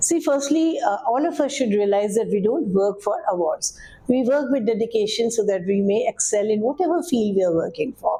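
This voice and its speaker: A woman speaks at a moderate pace with hardly any pauses, her fairly high pitch swinging very widely. Her loudness stays very even, and there is noticeable background noise. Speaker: assistant director at All India Radio, radio broadcaster. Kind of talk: interview answer. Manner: warm, energetic, fluent.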